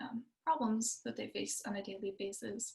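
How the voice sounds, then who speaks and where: A woman's somewhat breathy voice with fairly even intonation. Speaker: nonprofit representative for service dogs. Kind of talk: presentation. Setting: video call. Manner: fast.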